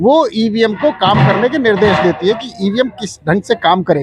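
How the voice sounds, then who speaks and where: A man speaks with a high-pitched voice. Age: 60s. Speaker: retired air force officer, protester. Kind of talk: street interview.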